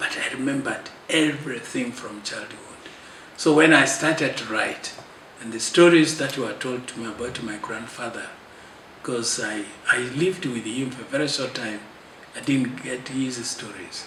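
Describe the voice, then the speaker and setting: Over noticeable background noise and audible room echo, a man talks at a moderate pace and medium pitch, with ordinary pitch variation and big swings in loudness. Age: 70s. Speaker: clergyman and author. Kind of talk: interview. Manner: halting.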